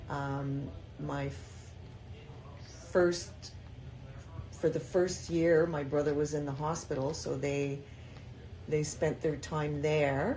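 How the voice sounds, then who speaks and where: In a room with audible echo, a woman with a dark, mellow tone and a very deep, low pitch speaks very slowly and somewhat breathily, leaving long, frequent pauses. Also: fairly even intonation. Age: 60s. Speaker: grandmother interviewee. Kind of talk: casual interview.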